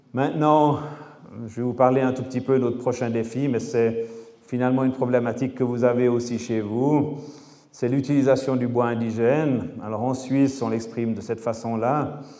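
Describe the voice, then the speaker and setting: A man at a medium pitch and moderate pace, monotone and flat, with audible room echo and noticeable background noise. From French-speaking Switzerland. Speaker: architect and engineer, lecturer. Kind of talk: lecture.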